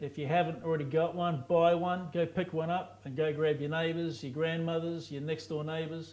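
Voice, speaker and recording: A man with a New Zealand accent speaks at a moderate pace in a fairly high pitch, with a flat, monotone delivery and hardly any pauses. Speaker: guitarist and guitar teacher. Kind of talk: casual interview with guitar tips.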